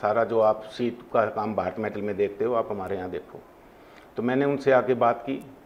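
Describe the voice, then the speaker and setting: Delivered at a moderate tempo, the speech keeps a fairly even intonation. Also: man. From Hisar, Haryana, India; Haryana, India. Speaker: industrialist; interview guest. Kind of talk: interview. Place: studio.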